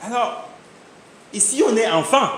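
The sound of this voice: Fairly bright male voice at a slow pace, with strong room echo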